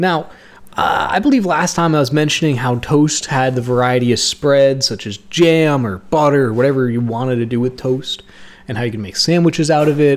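At a fairly quick pace, a man speaks with a fairly high pitch and ordinary pitch variation. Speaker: YouTuber. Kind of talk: unscripted rambling monologue. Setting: home recording. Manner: rambling, halting. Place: kitchen.

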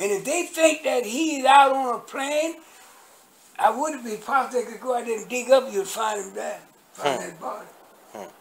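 A man's voice sits at an extremely high pitch, with ordinary pitch variation and big swings in loudness. He keeps a moderate pace over light background noise. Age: 80s+. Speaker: former Nation of Islam minister. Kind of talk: interview answer. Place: home room. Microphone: phone near.

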